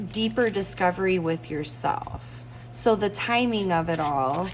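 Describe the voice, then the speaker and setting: Noticeable background noise sits under a woman speaking at a fairly low pitch. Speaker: tarot reader. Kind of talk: tarot reading talk to camera. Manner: excited.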